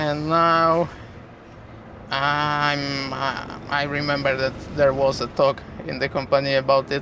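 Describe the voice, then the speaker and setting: Through noticeable background noise, a man speaks at a very slow pace in a fairly high pitch, with monotone, flat intonation and long, frequent pauses. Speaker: truck driver vlogger. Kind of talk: casual driving vlog narration. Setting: in a truck cab with windows open. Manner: loud.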